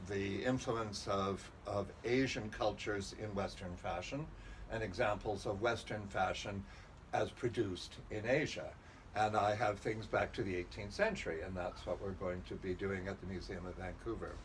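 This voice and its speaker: Through noticeable background noise and audible room echo, a man with a fairly low voice speaks at a moderate pace and with fairly even intonation. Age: 70s. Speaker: historical fashion collector and curator. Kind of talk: interview. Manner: hesitant with fillers.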